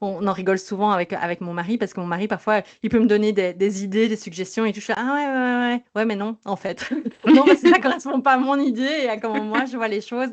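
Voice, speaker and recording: This speaker talks at a fairly quick pace with a slight Belgian accent and ordinary pitch variation. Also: woman, fairly high pitch for a woman. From Belgium. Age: 30s. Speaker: sleep psychologist. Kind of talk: podcast interview. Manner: lively, dynamic; hesitant, many fillers.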